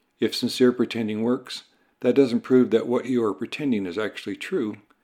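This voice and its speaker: A man's medium-pitched voice with a dark, mellow tone, moderate pace and ordinary pitch variation, on a very clean recording with a silent background. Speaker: meditation teacher. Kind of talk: guided meditation.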